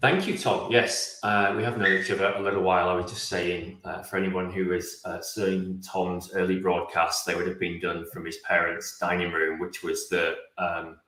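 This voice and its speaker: There is audible room echo as a man with a British accent speaks at a moderate pace with hardly any pauses. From England. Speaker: automation consultant. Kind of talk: interview.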